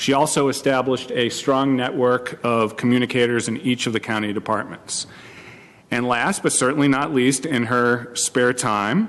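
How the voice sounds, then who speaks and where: Medium-pitched man with an American accent, moderate pace and ordinary pitch variation, plus noticeable background noise. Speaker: county manager. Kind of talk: formal tribute remarks at public board meeting. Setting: public board meeting.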